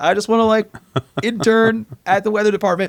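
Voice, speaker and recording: Putting on a squeaky character voice, a man talks at a fairly quick pace with a high pitch and fairly even intonation. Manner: nervous, timid.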